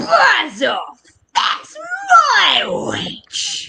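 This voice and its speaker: This put-on character voice shouts in an extremely high, shrill tone that is both growling and croaky. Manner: menacing, gruff.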